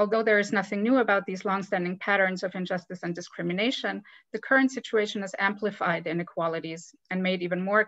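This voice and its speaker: Against a quiet background, a woman with an unremarkable speaking voice talks at a fairly quick pace, at medium pitch with fairly even intonation. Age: 30s. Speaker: webinar moderator, diversity coordinator. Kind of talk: moderated panel webinar. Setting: video call.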